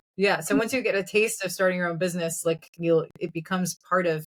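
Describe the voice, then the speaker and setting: In an American accent, a woman with an unremarkable speaking voice talks at a fairly quick pace, fairly low in pitch with fairly even intonation, and the sound is dry and close with no echo. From New Jersey. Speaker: entrepreneur. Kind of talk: casual chat.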